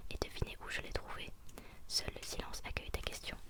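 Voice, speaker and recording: A woman whispers at a fairly quick pace, with noticeable background noise. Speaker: ASMR creator. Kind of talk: read story. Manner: whispered.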